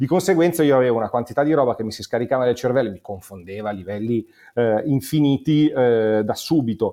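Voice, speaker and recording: A dark, mellow tone moves at a very fast pace with ordinary pitch variation. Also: man, medium pitch for a man. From Monza, Lombardy, northern Italy. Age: 40s. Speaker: music promoter and writer. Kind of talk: casual chat. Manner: halting, repeats words.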